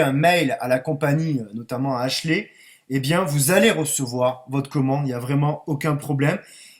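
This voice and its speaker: A man talks at a moderate pace in a somewhat breathy, fairly high voice. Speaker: network marketing distributor. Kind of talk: online conference presentation. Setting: online conference call.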